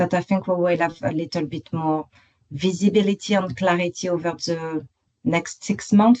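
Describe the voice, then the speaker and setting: In a strong French accent, a woman speaks at a moderate pace with ordinary pitch variation. Her tone is dark and mellow, fairly low in pitch, and the sound is dry and close with no echo. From France, Paris. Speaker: construction professional. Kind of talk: online work meeting discussion. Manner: halting, many fillers.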